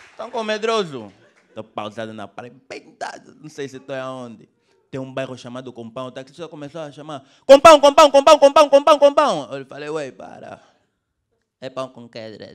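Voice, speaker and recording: Big swings in loudness, a moderate pace and long, frequent pauses, with faint music in the background. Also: man. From Angola. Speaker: stand-up comedian. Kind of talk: raunchy stand-up comedy set in Luanda street slang. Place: stage.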